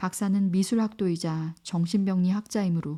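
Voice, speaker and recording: A woman's somewhat breathy, medium-pitched voice, dark and mellow in tone, calm and soothing, on a very clean recording with a silent background. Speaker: audiobook narrator. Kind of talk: audiobook reading of a classic novel. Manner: calm, soothing.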